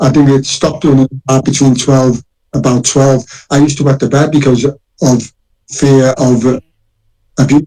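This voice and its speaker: A man with a Liverpool accent, medium pitch and a flat monotone, at a moderate pace with very even loudness and long, frequent pauses. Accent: Scouse. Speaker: former prisoner claiming innocence. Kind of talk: interview. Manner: halting.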